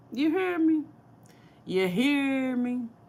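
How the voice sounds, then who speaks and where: In a St. Louis accent, a woman speaks at a very slow pace, her pitch swinging very widely. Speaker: cooking YouTuber. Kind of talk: casual livestream chat.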